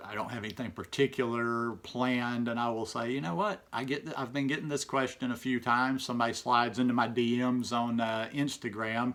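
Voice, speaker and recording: A man's medium-pitched voice with a Southern US accent at a fairly quick pace, in a very clean recording with a silent background. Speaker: YouTuber. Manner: casual, rambling.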